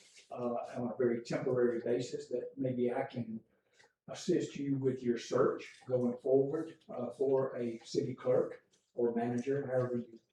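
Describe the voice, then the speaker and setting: A man's medium-pitched, somewhat breathy voice with a dark, mellow tone and a Southern US accent. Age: 70s. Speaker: retired public official. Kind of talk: public comment at council meeting. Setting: town council meeting. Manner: halting, many fillers.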